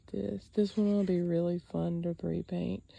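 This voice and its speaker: The speaker is a woman with a Southern US accent. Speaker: sketch artist. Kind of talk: casual talk to camera.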